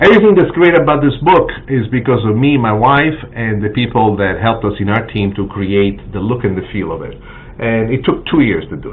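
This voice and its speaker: With a Sicilian accent and lively intonation, a man speaks at a medium pitch over noticeable background noise and audible room echo. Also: fairly quick pace. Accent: Italian (Sicilian) accent in English. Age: 60s. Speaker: cookbook author and TV chef. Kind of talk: live stream announcement. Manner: halting, many fillers.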